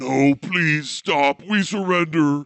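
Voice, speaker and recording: Using a put-on character voice, a man speaks with a fairly high pitch. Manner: pleading, desperate.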